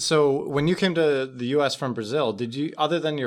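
In a very clean recording with a silent background, a man with a plain, everyday voice talks at a fairly quick pace with fairly even intonation. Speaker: podcast host. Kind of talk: casual interview.

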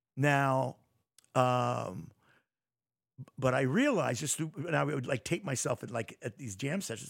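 Lively intonation from a man at medium pitch, with vocal fry. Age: 60s. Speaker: saxophonist and bandleader. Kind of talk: casual interview chat. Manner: rambling, filler-heavy.

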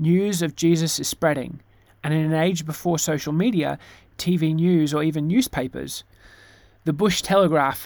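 With an Australian accent and fairly even intonation, a man is heard on a very clean recording against a silent background. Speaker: pastor. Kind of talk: sermon.

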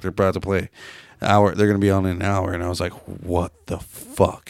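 The delivery is moderately paced, and the recording is very clean with a silent background. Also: man. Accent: Pacific Northwest. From Seattle, US. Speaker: podcast host. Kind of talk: casual chat, profane banter. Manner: rambling, casual, animated.

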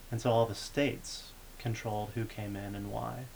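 A man talks at a moderate pace with a medium pitch. His voice is somewhat breathy, with monotone, flat intonation. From Texas. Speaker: graduate student in politics. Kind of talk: casual chat.

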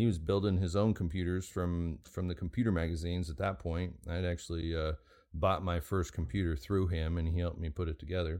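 At a fairly quick pace, a man with an American accent speaks in a very deep, low voice with fairly even intonation. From Oregon. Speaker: knife maker. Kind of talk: casual chat. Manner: halting.

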